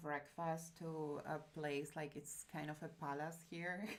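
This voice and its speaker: A woman speaks with a Spanish accent. Her pitch is fairly low and her pace fairly slow. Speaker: streamer. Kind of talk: casual chat. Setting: live stream.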